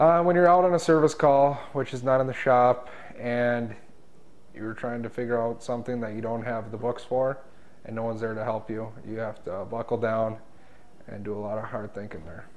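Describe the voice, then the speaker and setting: A man with an Upper Midwest accent at a moderate pace, showing ordinary pitch variation and big swings in loudness. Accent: Upper Midwest American. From North Dakota, rural. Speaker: diesel mechanic. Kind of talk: interview answers; interview answer. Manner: halting, filler-heavy. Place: meeting room. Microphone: lapel.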